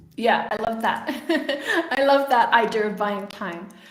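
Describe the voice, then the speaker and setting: Over audible room echo, a woman speaks at a high pitch with ordinary pitch variation. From UK. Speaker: communication coach and podcaster. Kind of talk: live webinar talk. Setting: live stream.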